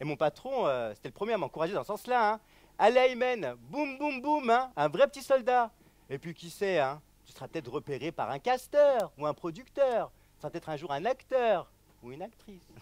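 A man speaks at a moderate pace, his loudness swinging widely. The sound is dry with no echo. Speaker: stand-up comedian. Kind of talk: comedy routine with character voices. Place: stage.

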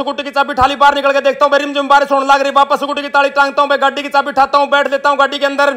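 A man with a Haryana accent projects a raised voice at an extremely high pitch, flat and monotone. He hardly pauses, and background noise is noticeable. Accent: Haryanvi. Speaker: vlogger. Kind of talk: fast daily-life vlog narration. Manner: fast.

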